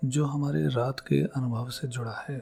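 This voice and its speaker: Calm and somewhat breathy, a man speaks at a medium pitch. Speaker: psychology educator. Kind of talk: scripted narration.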